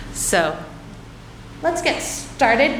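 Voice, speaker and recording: With music in the background and audible room echo, a woman speaks with an American accent. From United States. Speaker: physicist. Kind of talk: conference talk. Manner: filler words, some restarts.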